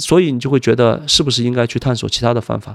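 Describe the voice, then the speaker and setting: The speech runs at a very fast pace on a very clean recording with a silent background. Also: man. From Wenzhou, Zhejiang, China. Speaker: fund manager. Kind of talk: interview. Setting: studio.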